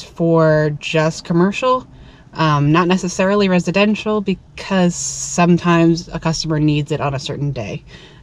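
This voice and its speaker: Speaking at a fairly slow pace, a woman with a fairly low pitch and ordinary pitch variation talks over noticeable background noise. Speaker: window cleaner and video blogger. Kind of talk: casual vlog monologue to camera. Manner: casual, hesitant with many filler words.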